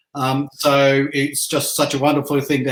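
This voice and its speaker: A man with an Australian accent, medium in pitch, at a moderate pace. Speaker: military veteran. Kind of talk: casual chat. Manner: halting.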